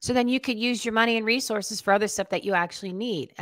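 A woman speaks in an energetic tone. The background is quiet. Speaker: radio show and podcast host, podcast guest. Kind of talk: casual, blunt, conversational. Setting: remote call recording. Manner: fast talker, energetic. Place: home room. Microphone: studio mic.

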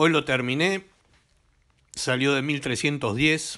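Against a quiet background, a man talks in an animated way. His pitch is fairly high and his tone bright and sharp. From Argentina. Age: 60s. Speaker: gaming YouTuber; gaming video creator. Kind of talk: comedic rant to camera; casual vlog chat, mocking commentary. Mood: joking, teasing.

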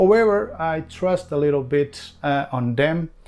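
A man at a very slow pace, faint music in the background. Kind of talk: casual vlog chat. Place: kitchen.

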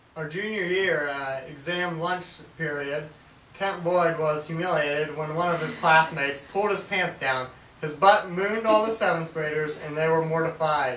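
A man speaks at a moderate pace with fairly even intonation. Audible room echo and light background noise surround him. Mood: playful, laughing. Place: home room. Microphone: camera far.

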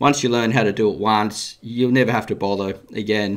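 Against a quiet background, a man with an Australian accent speaks at a fairly quick pace. His fairly low voice shows ordinary pitch variation. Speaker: gardening YouTuber and worm farming teacher. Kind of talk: live interactive show, educational talk. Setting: live stream from home. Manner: friendly, casual, conversational.

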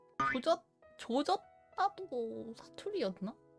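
Music plays behind a woman speaking in a high voice. Her pitch swings very widely. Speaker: virtual streamer. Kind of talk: casual live-stream talk.

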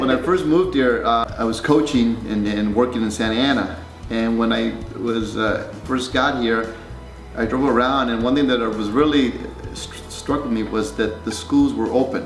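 Faint music plays in the background as a man speaks with ordinary pitch variation amid audible room echo. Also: moderate pace. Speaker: council candidate. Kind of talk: interview answer. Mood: friendly, smiling.

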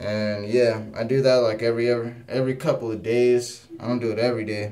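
Light background noise behind a man of medium pitch, with fairly even intonation at a moderate pace. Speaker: vlogger. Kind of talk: casual talk to camera. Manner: monotonous. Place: home room. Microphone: phone near.

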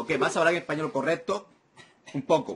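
Speaking at a fairly quick pace, a man has a fairly high pitch, a fairly bright tone with a husky, rough edge, and ordinary pitch variation.

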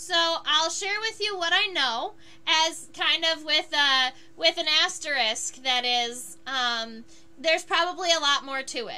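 With an extremely high pitch and a bright, sharp tone, a woman speaks in a raised, projected voice at a fairly slow pace, her intonation lively. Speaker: entomologist and live-stream educator. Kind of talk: live-stream tutorial while drawing. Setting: solo live stream at home. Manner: hesitant, many fillers.

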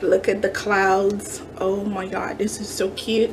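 A woman speaks over noticeable background noise. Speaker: craft haul vlogger. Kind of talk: casual haul show-and-tell. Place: kitchen. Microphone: phone near.

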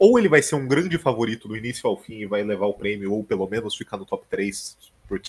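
A man with a Brazilian accent talks at a fairly quick pace. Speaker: stream co-host. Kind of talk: casual live-stream reaction chat. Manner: sarcastic, opinionated. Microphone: headset.

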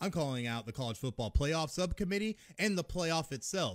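A man talks in an animated tone with lively intonation. The background is quiet. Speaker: podcast host ranting about college football. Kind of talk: angry rant. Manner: loud, fired-up, animated. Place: home room. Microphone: studio mic.

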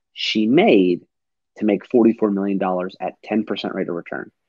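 Against a quiet background with dry, echo-free sound, a man with an American accent speaks at a moderate pace with ordinary pitch variation. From Detroit, Michigan. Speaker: financial services professional; guest. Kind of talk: casual chat. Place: home room. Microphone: earbuds.

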